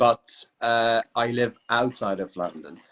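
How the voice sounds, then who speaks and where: With a British accent, a man at a medium pitch speaks at a very slow pace. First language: Kurdish. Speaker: English teacher. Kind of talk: casual chat.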